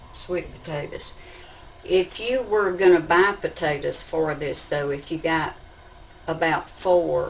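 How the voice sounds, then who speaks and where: Noticeable background noise runs behind a woman speaking with an American accent. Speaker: home cook. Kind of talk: cooking tutorial to camera.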